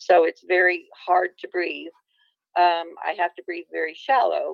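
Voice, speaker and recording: The woman here speaks at a moderate pace. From Illinois. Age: 50s. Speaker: near-death experiencer. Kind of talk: testimony.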